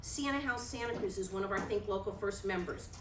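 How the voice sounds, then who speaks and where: At a fairly quick pace, a woman talks over noticeable background noise with audible room echo. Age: 60s. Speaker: realtor and workshop presenter. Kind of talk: workshop presentation.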